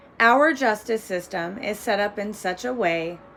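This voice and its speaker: A woman speaks at medium pitch. Music plays in the background. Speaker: domestic violence survivor. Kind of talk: victim impact statement read aloud.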